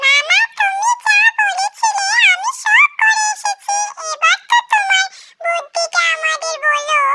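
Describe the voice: A cartoonish character voice sits at an extremely high pitch. It moves at a fairly slow pace.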